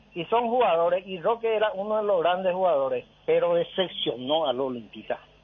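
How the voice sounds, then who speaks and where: Pitched high for a man, his voice moves at a moderate pace. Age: 60s. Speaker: caller. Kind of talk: phone-in opinion. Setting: phone call. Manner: agitated, emphatic.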